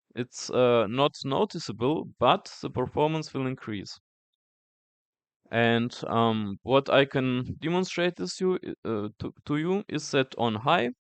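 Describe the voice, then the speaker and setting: Against a quiet background, a man with a non-native accent speaks at a very slow pace, his medium-pitched voice carrying lively intonation in a dry, close sound with no echo. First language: not English. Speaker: tech youtuber. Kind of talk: tutorial. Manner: halting, many fillers.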